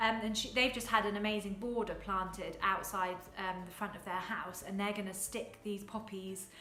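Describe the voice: In a room with audible echo, a woman speaks at a medium pitch and a moderate pace. Her tone is bright and sharp, and her intonation fairly even.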